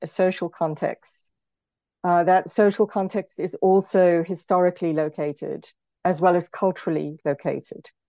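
A woman with a South African accent, fairly low-pitched and dark and mellow in tone, with ordinary pitch variation at a moderate pace, in a dry, close sound with no echo and a quiet background. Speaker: film and television lecturer, author. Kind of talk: interview about her book.

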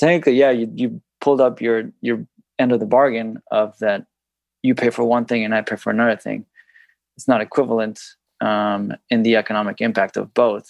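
An ordinary speaking voice at a fairly quick pace, with fairly even intonation and a dry, close sound with no echo. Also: man, medium pitch for a man. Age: 30s. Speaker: podcast guest seeking couples money coaching. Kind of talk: couples coaching conversation.

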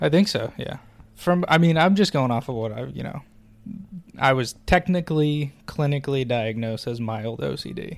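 In a very clean recording with a silent background, a man with an unremarkable speaking voice talks at a moderate pace, with a fairly high pitch, lively intonation and big swings in loudness. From Oregon. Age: 20s. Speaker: podcast guest. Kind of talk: casual chat.

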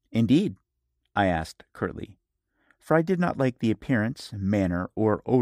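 Someone reads in an unforced reading voice over a quiet background.

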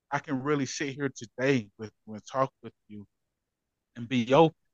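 With fairly even intonation, a man talks at a medium pitch in a dry, close sound with no echo. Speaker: motivational speaker. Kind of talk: casual interview chat.

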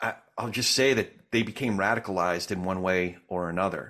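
A man with an American accent uses an ordinary speaking voice at a moderate pace with ordinary pitch variation, in a very clean recording with a silent background. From New Jersey. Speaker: podcast host. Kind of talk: interview conversation, casual.

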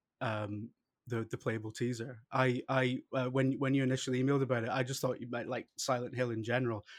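At a fairly quick pace, a man speaks in a monotone, flat intonation at a medium pitch. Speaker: podcast host. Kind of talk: casual chat.

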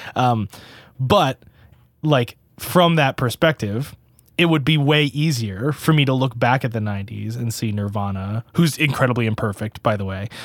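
At a moderate pace, a man with an unremarkable speaking voice talks at medium pitch with ordinary pitch variation, on a very clean recording with a silent background and a dry, close sound with no echo. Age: 20s. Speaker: touring metal musician and recording engineer. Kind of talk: casual chat.

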